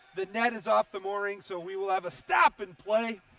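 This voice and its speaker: A man's raised, projected voice at a moderate pace, dry and close with no echo, over noticeable background noise. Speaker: hockey play-by-play announcer. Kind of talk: live sports commentary. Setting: ice arena broadcast.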